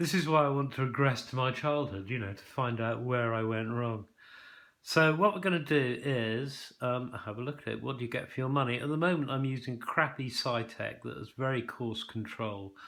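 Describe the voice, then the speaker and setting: In an English accent, the speaker talks at a moderate pace with ordinary pitch variation, on a very clean recording with a silent background. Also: man, medium pitch for a man. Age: 60s. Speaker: product reviewer. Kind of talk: casual unboxing review. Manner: hesitant, many ums.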